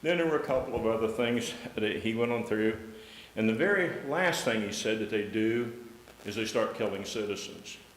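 A man with an American accent at medium pitch and a moderate pace, ordinary pitch variation, noticeable background noise and audible room echo. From Ohio. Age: 70s. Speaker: public commenter at city council. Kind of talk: public comment speech. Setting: city council meeting.

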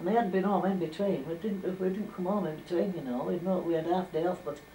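A woman talks at a very fast pace with a fairly low pitch and fairly even intonation. Audible room echo and light background noise are present. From Furness, northern England. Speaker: former domestic servant. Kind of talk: oral history interview. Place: home room. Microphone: old recording.

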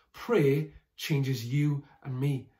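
Against a quiet background, a man speaks in a somewhat breathy voice. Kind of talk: sermon. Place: home room. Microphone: phone near.

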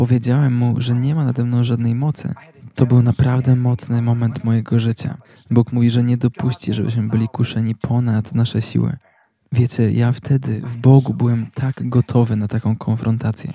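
A man's somewhat breathy, monotone and flat voice at medium pitch, with a dry, close sound and no echo. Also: moderate pace. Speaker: channel host and sermon translator. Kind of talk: voice-over reading of a translated sermon. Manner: halting, filler-heavy in own intro.

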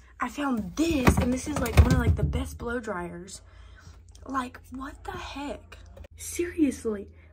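Over noticeable background noise, a woman speaks at a very slow pace with big swings in loudness. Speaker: vlogger. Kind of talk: casual vlog chat. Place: home room. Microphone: phone near.

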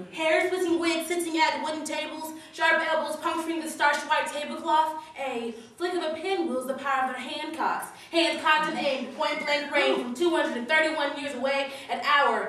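Pitch varies in an ordinary way. Audible room echo surrounds the voice. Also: woman, high pitch for a woman, moderate pace. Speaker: slam poet. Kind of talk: slam poetry performance, political spoken-word piece delivered live. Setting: stage with audience. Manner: rhythmic, punchy wordplay with building, accusatory intensity; long breathless run-on lines driving toward climaxes. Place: hall. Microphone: camera far.

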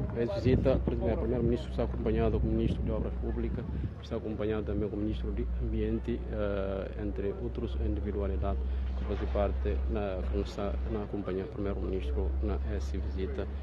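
Against loud background noise, a man talks at a fairly quick pace, the sound dry with no echo. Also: ordinary pitch variation. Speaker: live stream reporter. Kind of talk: live news commentary. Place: street. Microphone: phone near.

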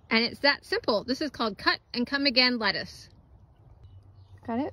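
In a raised, projected voice, a woman with a high pitch speaks at a moderate pace with ordinary pitch variation. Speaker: home gardener. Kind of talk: casual talk to camera.

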